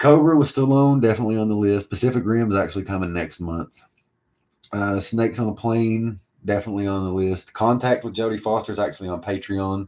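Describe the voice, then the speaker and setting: This man speaks fairly quickly in a strong Appalachian accent, his fairly low voice dark and mellow in tone, with ordinary pitch variation. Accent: Appalachian country accent, strong. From Appalachia, US. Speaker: video editor. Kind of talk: livestream Q&A chat. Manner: casual, many fillers.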